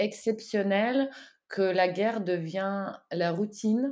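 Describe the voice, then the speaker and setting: Over a quiet background, a woman with a Russian accent speaks very slowly at a medium pitch. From Ukraine. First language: Russian (speaking French). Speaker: co-author of a war diary. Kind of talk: interview. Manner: halting.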